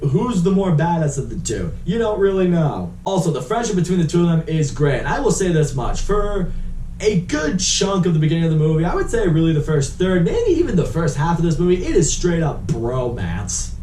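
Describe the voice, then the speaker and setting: Animated and fairly quick with hardly any pauses, a man speaks in a high pitch with ordinary pitch variation, amid noticeable background noise and audible room echo. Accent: Boston. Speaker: movie reviewer. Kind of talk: casual movie review.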